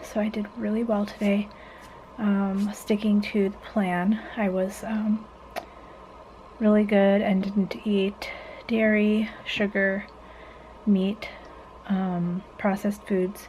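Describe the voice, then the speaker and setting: Soft-spoken and flat in intonation, a woman at medium pitch talks at a very slow pace with long, frequent pauses against noticeable background noise. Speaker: vlogger. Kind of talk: vlog. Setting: at home at night. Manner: hesitant, many fillers.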